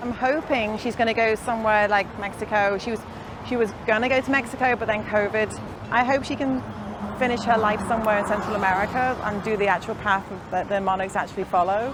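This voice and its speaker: Over noticeable background noise, a woman with a fairly high pitch talks at a fairly quick pace with fairly even intonation. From northern England, Liverpool. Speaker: fibre artist. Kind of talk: casual chat. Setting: outdoors.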